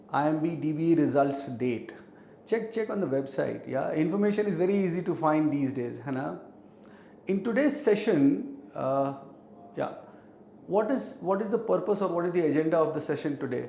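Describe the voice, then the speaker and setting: In a room with audible echo, a man talks at a fairly high pitch with lively intonation. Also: moderate pace. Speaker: teacher. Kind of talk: live online class. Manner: code-switching Hindi and English.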